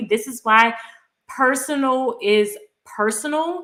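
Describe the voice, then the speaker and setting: A woman speaks with a New Orleans accent. Her pitch varies in an ordinary way. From US South, New Orleans, Louisiana. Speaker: personal finance youtuber. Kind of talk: live stream Q&A. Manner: casual, conversational.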